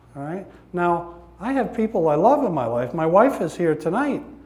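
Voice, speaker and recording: With audible room echo around it, the voice moves through very wide pitch swings. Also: man. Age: 60s. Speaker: recovery speaker. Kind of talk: testimony. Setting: church with audience. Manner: animated.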